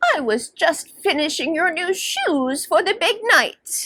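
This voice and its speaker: A woman's put-on character voice, extremely high in pitch, at a fairly slow pace. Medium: read story. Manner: gentle, reassuring.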